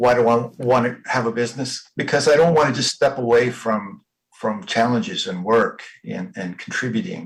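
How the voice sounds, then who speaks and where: At a moderate pace, a man speaks with lively intonation at a medium pitch. His voice is somewhat breathy. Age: 60s. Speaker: workshop participant. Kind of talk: coaching conversation. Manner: halting.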